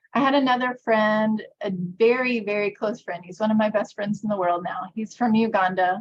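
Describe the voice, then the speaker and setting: A woman with an American accent speaks in a somewhat breathy voice at medium pitch. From US, conservative evangelical state. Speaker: workshop presenter. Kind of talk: workshop presentation.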